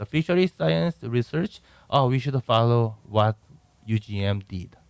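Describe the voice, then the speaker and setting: The recording is dry and close, with no echo. A man speaks with a Korean accent. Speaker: professor. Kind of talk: interview. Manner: halting.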